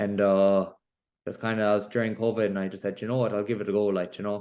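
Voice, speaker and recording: A man with a Galway accent, fairly low in pitch, talking at a very fast pace against a quiet background. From Ireland, Connemara, Galway. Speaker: professional boxer. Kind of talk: interview. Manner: casual, filler-heavy.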